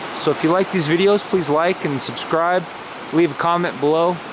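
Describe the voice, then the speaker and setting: Noticeable background noise sits behind a man. He talks at a fairly high pitch and a fairly quick pace. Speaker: painter. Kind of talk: tutorial. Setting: outdoors. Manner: casual.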